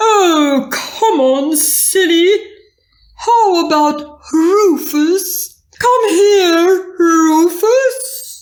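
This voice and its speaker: Extremely high in pitch, a put-on character voice drawls at a very slow pace. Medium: read story.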